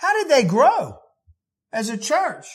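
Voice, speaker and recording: Audible room echo surrounds a man as he speaks. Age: 50s. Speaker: pastor. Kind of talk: sermon.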